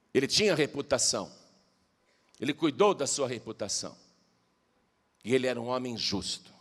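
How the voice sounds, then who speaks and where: The man talks at a medium pitch and a moderate pace, his intonation lively and broken by long, frequent pauses. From Brazil, Piracicaba (São Paulo interior). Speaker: pastor. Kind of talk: sermon.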